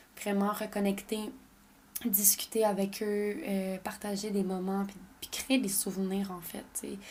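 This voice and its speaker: In a Quebec accent, a woman speaks at a medium pitch and a fairly slow pace, her intonation monotone and flat while her loudness swings widely. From Quebec, French parents. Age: 20s. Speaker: podcast host. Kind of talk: casual personal monologue.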